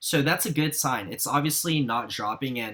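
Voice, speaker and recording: Animated and bright, sharp in tone, a man speaks at a moderate pace. His fairly high pitch shows ordinary variation. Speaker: sneaker reseller and video creator. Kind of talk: tutorial.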